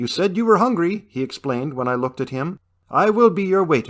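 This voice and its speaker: A put-on character voice swoops through very wide pitch swings. It moves at a fairly quick pace. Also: man. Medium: read story. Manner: dry, wry.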